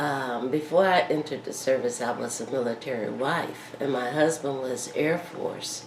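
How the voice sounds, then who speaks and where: A woman speaks in a Southern US accent. The recording has audible room echo and noticeable background noise. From Miami, Florida. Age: 70s. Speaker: war veteran. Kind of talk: oral history interview. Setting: at her home.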